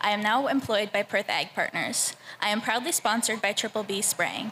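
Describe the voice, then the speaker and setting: Noticeable background noise behind a woman with a fairly high voice and a fairly quick delivery. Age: 20s. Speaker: fair ambassador contestant. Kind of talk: prepared speech.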